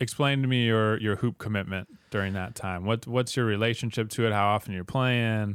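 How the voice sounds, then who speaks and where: At a fairly quick pace, a man with a fairly low pitch talks in an ordinary speaking voice, his intonation fairly even. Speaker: podcast host. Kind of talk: interview.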